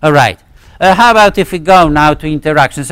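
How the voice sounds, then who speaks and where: A man with a Polish accent speaks, the sound dry and close with no echo. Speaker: physics professor. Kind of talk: lecture. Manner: halting, many fillers and restarts.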